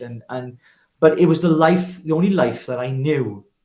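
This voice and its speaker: A somewhat breathy man with a Welsh accent, at a moderate pace with ordinary pitch variation. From Wales, Llanelli. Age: 50s. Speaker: political activist. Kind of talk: interview testimony.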